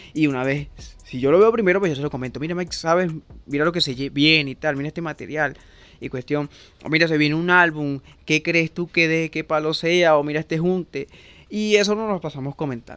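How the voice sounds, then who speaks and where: On a very clean recording with a silent background, a man talks fairly quickly at a fairly high pitch with ordinary pitch variation. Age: 20s. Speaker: podcast host. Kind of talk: casual monologue. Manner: halting.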